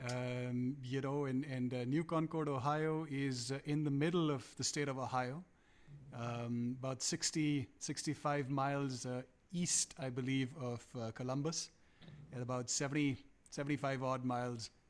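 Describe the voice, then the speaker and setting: Fairly even intonation and a fairly slow pace in a Punjabi accent, on a very clean recording with a silent background. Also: man. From India, Calcutta. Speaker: musician. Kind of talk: interview. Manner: halting.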